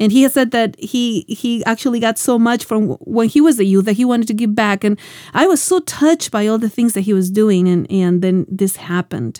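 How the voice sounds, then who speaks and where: A woman with an ordinary speaking voice talks at a fairly quick pace and a fairly high pitch, with lively intonation and hardly any pauses, in a very clean recording with a silent background. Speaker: Bible teacher and show host. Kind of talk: sermon-style Bible teaching.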